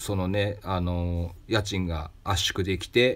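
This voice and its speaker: A man speaks with a fairly low, somewhat breathy voice. The recording is very clean, with a silent background. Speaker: craftsman and shop owner, podcast host. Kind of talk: solo advice talk answering listener mail.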